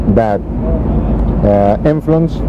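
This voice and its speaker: Noticeable background noise accompanies a man's voice. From Egypt. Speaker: planning and development expert. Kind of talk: TV interview. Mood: firm, earnest political views. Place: waterside. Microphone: lapel.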